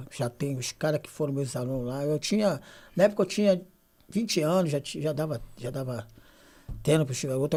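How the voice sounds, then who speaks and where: Lively in intonation, a man speaks at a moderate pace with a fairly high, somewhat breathy voice and a dark, mellow tone, in a very clean recording with a silent background. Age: 60s. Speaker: youth football coach in social project. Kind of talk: casual podcast chat.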